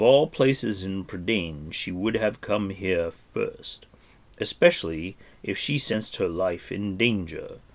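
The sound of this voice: The intonation here is lively. It comes in an unforced reading voice.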